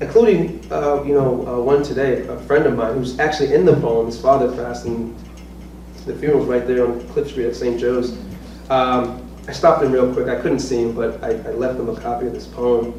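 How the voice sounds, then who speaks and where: A man with an American accent talks at a fairly quick pace. Noticeable background noise and audible room echo fill the recording. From US Northeast, Norwich, Connecticut. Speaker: poet and professor. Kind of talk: casual chat; poetry reading. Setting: stage with audience.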